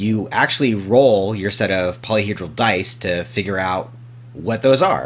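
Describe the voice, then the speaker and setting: Very wide pitch swings at a fairly slow pace. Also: man, fairly low pitch for a man. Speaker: podcast host. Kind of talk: casual podcast talk.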